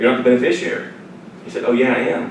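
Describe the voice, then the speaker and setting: A man with a Southern US accent speaks at a medium pitch, with audible room echo and noticeable background noise. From Louisiana, near Baton Rouge. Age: 30s. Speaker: financial advisor and radio host. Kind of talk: seminar presentation with Q&A. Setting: seminar room with audience. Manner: conversational, repetitive false starts.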